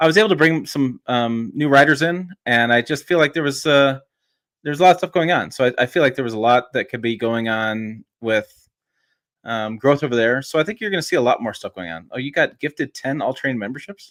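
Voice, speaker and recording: At a fairly quick pace, a man talks at a medium pitch with lively intonation in a very clean recording over a silent background. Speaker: truck journalist and YouTuber. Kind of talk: casual podcast interview. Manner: fast.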